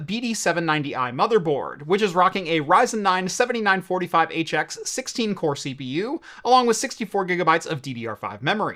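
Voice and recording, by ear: A man's high-pitched voice, bright and sharp in tone, with lively intonation and a fairly quick pace.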